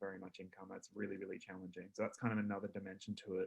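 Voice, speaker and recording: A man's fairly low-pitched voice with an Australian accent. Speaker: consumer advocate. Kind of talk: panel discussion. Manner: soft-spoken; halting. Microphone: too quiet, far from microphone.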